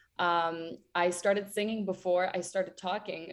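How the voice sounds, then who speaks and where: Against a quiet background, a woman with a Ukrainian accent speaks at a moderate pace and a fairly low pitch, with monotone, flat intonation. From western Ukraine, near Ternopil. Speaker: singer. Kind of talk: interview.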